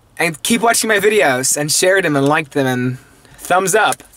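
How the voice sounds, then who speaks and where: A man speaks in a raised, projected voice at a moderate pace. The sound is dry, with no echo. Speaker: vlogger. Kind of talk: casual vlog chat. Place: car. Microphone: phone near.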